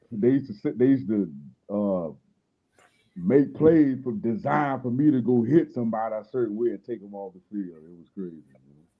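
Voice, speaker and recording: In an unremarkable speaking voice, a man talks with lively intonation and big swings in loudness. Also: medium pitch for a man, fairly quick pace. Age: 40s. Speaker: former football player, guest. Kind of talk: casual chat.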